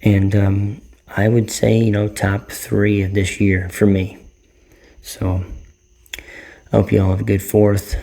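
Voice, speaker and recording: A man speaks quietly with a dark, mellow, somewhat breathy tone at a fairly low pitch. His delivery is fairly slow and flat, with long, frequent pauses. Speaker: vlogger, movie reviewer. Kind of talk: casual vlog movie review. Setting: at home late at night. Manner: quiet, subdued to avoid disturbing neighbors; hesitant, many fillers and repetitions.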